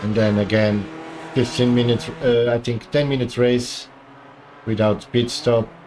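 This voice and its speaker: A man at a medium pitch with fairly even intonation and long, frequent pauses, amid noticeable background noise. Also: moderate pace. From Portugal. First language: Portuguese. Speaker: gaming streamer. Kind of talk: live gameplay commentary.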